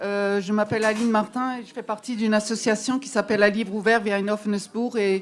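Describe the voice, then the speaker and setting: A woman with an Alsatian accent speaks at a moderate pace in a fairly high, monotone voice, captured in a very clean recording with a silent background. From Alsace, France. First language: Alsatian (speaking French). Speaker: literary association member. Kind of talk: public speech to audience. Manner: hesitant, many fillers.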